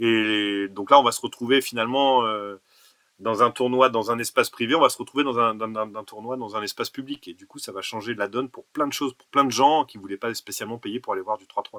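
The voice has a bright, sharp tone and fairly even intonation, moving at a fairly quick pace in a dry, close sound with no echo. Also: man, medium pitch for a man. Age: 40s. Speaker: basketball association president and tournament organizer. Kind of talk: podcast interview.

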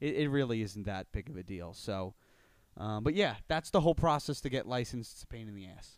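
A man with a plain, everyday voice speaks at medium pitch and a fairly quick pace. His intonation is lively, his loudness swings widely, and the recording is very clean with a silent background. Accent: American. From Long Island, New York (Suffolk County). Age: 20s. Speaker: mortgage broker. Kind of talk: casual interview chat.

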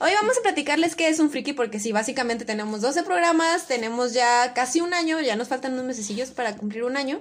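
In a Mexican accent, a woman speaks loudly and very fast with hardly any pauses, using a high pitch and lively intonation. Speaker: podcast co-host. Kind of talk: casual chat.

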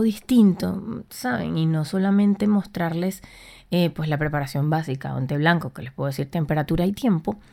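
A woman speaks at a fairly low pitch in a dark, mellow tone, with lively intonation. The recording is very clean, with a silent background. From Venezuela, Puerto La Cruz. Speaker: podcast host, recipe creator. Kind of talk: casual solo podcast monologue.

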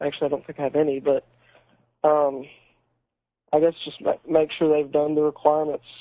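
A man with an American accent and a fairly high pitch talks fairly quickly in a monotone, flat way, leaving long, frequent pauses. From Alabama, US South. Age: young adult, 18. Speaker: Eagle Scout. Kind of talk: interview.

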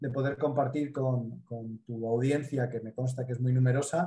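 A man with a Spanish accent has a somewhat breathy voice, a dark, mellow tone and a fairly high pitch. His intonation is fairly even and his pace moderate. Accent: Spanish (Spain). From Mediterranean Spain. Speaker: business consultant and speaker. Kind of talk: interview.

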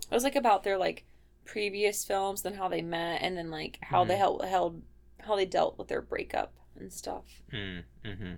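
A woman with a Midwestern accent talks at a moderate pace, her loudness swinging widely. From Ohio, Midwest. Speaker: podcast co-host.

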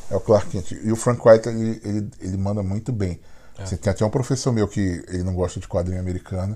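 Speaking very fast in a Brazilian accent, a man has a dark, mellow, somewhat breathy tone and fairly even intonation, on a very clean recording with a silent background. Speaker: podcast co-host. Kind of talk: casual chat.

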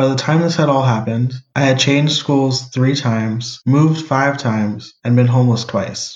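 A man's medium-pitched, somewhat breathy voice with an American accent and fairly even intonation. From US Northeast and Cleveland, Ohio. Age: 20s. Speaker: podcast co-host. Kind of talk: personal narrative monologue.

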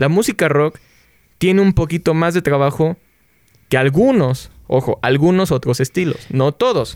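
In an ordinary speaking voice, a man talks at a fairly slow pace with a fairly high pitch and lively intonation. His loudness stays very even, and the sound is dry and close with no echo. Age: 20s. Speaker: podcast host. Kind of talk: casual chat.

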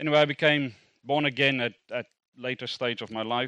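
The sound is dry and close, without any echo. A man talks in a bright, sharp tone. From South Africa. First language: Afrikaans. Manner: animated, informal, humorous.

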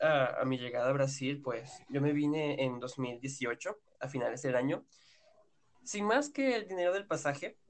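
Fairly slow and fairly high-pitched, a man speaks with lively intonation. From Venezuela, Yaracuy. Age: 19. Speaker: podcast guest, Venezuelan migrant. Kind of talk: casual chat.

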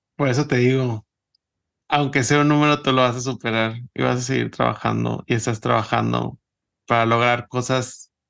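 A man is speaking. The background is quiet. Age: 30s. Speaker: podcast host. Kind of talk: interview.

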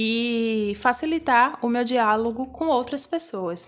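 Woman's high-pitched voice with ordinary pitch variation. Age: 20s. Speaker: podcast host, dance teacher and embroiderer. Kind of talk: personal monologue podcast.

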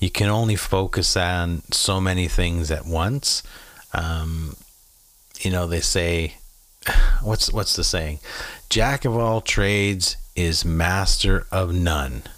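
Speaking in a Maritime Canadian accent, a man with a very deep, low pitch talks very slowly with long, frequent pauses, very even loudness and ordinary pitch variation. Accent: Canadian (Maritimes). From Prince Edward Island, Canada. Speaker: podcast host. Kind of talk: casual monologue rant. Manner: animated; frequent fillers.

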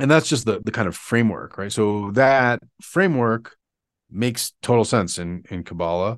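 An unremarkable speaking voice from a man, at a fairly slow pace over a quiet background. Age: 40s. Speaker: conjurer and folk magic researcher. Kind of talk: casual interview. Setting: video call.

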